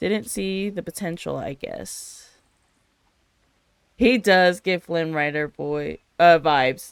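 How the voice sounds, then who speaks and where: Speaking very slowly with an American accent, the voice leaves long, frequent pauses. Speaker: streamer. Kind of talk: gameplay commentary. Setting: live stream.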